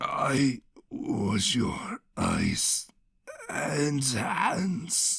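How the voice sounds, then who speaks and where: A man puts on a raspy, high-pitched character voice. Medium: read story.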